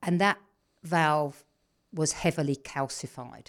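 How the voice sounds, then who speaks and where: In an English accent, a woman speaks with a very deep, low pitch and fairly even intonation. The recording is very clean with a silent background. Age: 60s. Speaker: personal trainer and wellness coach. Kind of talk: interview. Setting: studio.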